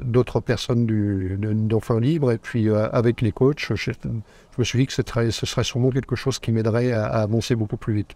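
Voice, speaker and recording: A man speaks at a fairly quick pace and medium pitch with a dark, mellow tone and fairly even intonation, in a dry, close sound with no echo and a quiet background. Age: 60s. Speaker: retired entrepreneur, course participant. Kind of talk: interview. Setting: on location at an event in Phuket. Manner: halting, many repetitions and fillers.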